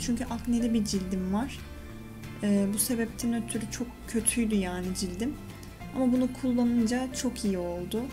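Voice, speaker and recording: With clear music in the background, a woman speaks at a moderate pace with fairly even intonation. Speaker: beauty vlogger. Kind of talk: casual tutorial vlog chat. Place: bathroom. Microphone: phone near.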